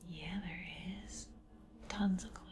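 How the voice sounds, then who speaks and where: Soft-spoken talking is heard over noticeable background noise. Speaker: ASMR creator. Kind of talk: ASMR painting tutorial.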